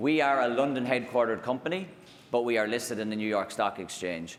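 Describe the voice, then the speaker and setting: A man speaks with an Irish accent. Room echo is audible. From Ireland. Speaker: technology executive. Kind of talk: conference keynote. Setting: stage with audience. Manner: hesitant, many fillers.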